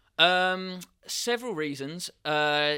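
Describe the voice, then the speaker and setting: With a southeast English accent, the voice has a bright, sharp tone and ordinary pitch variation. The recording is very clean, with a silent background. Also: man. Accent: south-east English. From England, Kent. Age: 30s. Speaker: professional trader, business owner. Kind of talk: elevator pitch; casual interview chat. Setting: studio.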